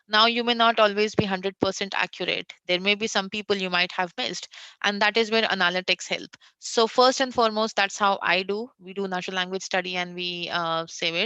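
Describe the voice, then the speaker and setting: A woman with an Indian accent speaks at a fairly quick pace, at medium pitch with fairly even intonation, over a quiet background. Her tone is bright and sharp. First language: Hindi. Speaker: conversational AI designer. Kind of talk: interview on tech panel. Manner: frequent fillers (uh).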